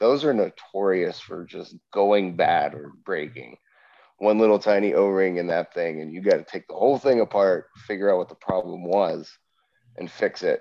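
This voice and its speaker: A man's fairly low-pitched voice, an ordinary speaking voice, at a moderate pace with ordinary pitch variation. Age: 30s. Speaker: Air Force veteran, pool technician. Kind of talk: casual chat.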